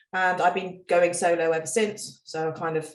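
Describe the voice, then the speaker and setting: A woman at a moderate pace and fairly low pitch, with audible room echo. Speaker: reptile breeder. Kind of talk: casual chat.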